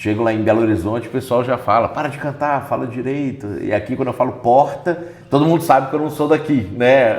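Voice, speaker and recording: Over noticeable background noise, a man rattles along at a very fast pace with ordinary pitch variation. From Minas Gerais, Brazil. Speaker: pastor and lawyer. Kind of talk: interview.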